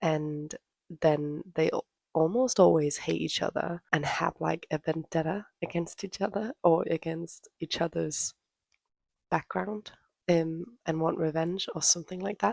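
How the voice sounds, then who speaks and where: Soft-spoken, a woman talks at a fairly slow pace in a fairly low pitch with ordinary pitch variation. The sound is dry and close, with no echo. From Denmark. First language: Danish. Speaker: book vlogger. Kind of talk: casual chat. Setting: at home.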